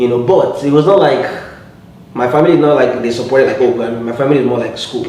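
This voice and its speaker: A man with a strong Nigerian accent speaks with ordinary pitch variation amid noticeable background noise and audible room echo. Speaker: musician. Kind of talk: interview. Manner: halting.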